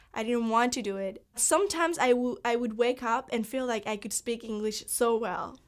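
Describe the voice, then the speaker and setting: A woman with a Spanish accent speaks at a fairly high pitch and a moderate pace. The recording is very clean, with a silent background. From Cuba. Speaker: college student. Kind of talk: personal testimony interview. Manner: halting, with repetitions and fillers.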